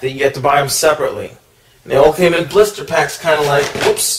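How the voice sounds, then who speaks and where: A man with a fairly high pitch speaks fairly quickly as noticeable background noise goes on. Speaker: toy reviewer. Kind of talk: product review. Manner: hesitant, many fillers.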